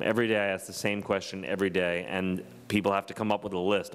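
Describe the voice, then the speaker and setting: A man in a plain, everyday voice talks at a fairly low pitch and a fairly quick pace. His intonation is fairly even. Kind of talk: lecture. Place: hall. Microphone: podium.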